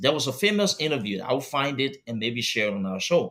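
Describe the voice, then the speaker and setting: A man's bright, sharp tone at medium pitch, with lively intonation and a fairly quick pace. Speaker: talk show host. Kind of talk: panel discussion. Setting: live studio stream. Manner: fast.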